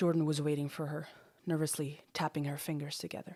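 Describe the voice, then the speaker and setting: A woman uses a put-on character voice, gravelly and very deep, low in pitch. She talks at a fairly quick pace with monotone, flat intonation. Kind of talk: dramatic audiobook narration. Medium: read story. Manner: gritty, profane.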